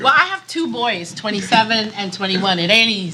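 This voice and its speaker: Against noticeable background noise, a woman speaks with an American accent. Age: 60s. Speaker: NGO founder, panelist. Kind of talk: panel discussion.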